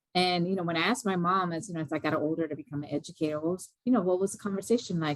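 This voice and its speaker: A woman with a Spanish accent at a very fast pace and a medium pitch. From US, Mexican-American family. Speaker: educator. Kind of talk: panel discussion.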